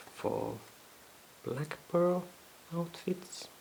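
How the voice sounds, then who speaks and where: A woman is speaking. Background noise can be clearly heard. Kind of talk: unboxing video. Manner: soft-spoken.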